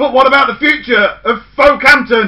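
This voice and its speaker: Putting on a character voice, a man speaks at a moderate pace in an extremely high pitch. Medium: read story. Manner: brusque, bossy.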